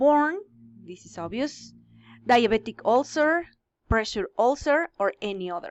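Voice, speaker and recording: A woman with a Spanish accent and ordinary pitch variation. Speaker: English teacher. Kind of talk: lecture. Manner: halting.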